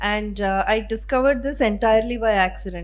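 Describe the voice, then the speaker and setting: Audible room echo surrounds a woman speaking with a Kannada accent. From Karnataka, India. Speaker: literary translator. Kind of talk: panel discussion Q&A.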